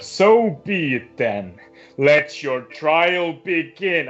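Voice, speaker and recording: Using a put-on character voice, a man speaks at a very slow pace with a fairly high pitch. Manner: commanding, ominous.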